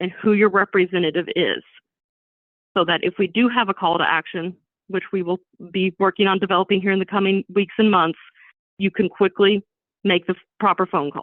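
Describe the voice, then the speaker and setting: Her intonation is fairly even. The woman's voice sits at a medium pitch. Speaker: advocacy committee presenter. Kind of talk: presentation. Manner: fast.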